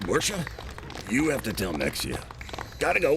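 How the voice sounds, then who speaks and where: A man puts on a character voice at medium pitch and a moderate pace. Clear background noise can be heard. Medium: audio drama. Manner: nervous, hushed.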